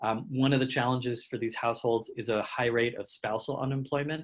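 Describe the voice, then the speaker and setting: At a fairly quick pace, a man with a medium pitch speaks in a monotone, flat intonation. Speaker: anti-hunger policy advocate. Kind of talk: webinar presentation. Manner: fast.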